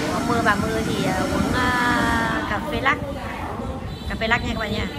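Clear music sits behind the voice. The woman's delivery moves at a moderate pace. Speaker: vlogger filming family. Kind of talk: casual vlog chat. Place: cafe. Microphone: phone near.

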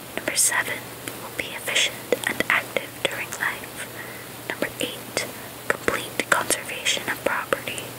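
A woman is whispering at a fairly slow pace over noticeable background noise. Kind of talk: ASMR book reading. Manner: soft-spoken, casual.

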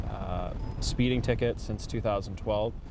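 A man speaks at a fairly slow pace. The sound is dry with no echo, though noticeable background noise is present. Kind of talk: explanatory interview answer. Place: car.

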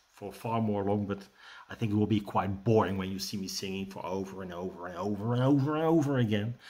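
A man's fairly low, dark, mellow voice with a Dutch accent, ordinary pitch variation and a fairly quick pace. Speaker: rune teacher and shaman. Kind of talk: tutorial with guided meditation. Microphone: webcam.

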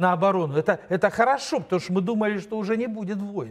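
The speaker is a man. Behind him the background stays quiet. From Moldova. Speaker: political commentator and show co-host; political commentator, show co-host. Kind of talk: studio political analysis talk show. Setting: studio. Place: studio. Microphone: lapel.

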